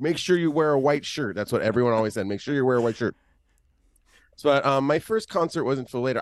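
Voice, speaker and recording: A man's animated tone, medium pitch and lively intonation against a quiet background. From Los Angeles. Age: 40s. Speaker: musician and tour guide. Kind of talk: casual chat.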